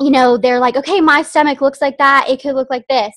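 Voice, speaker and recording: A woman's voice, dry and close with no echo. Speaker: direct sales team member. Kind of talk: training talk on video call. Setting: video call.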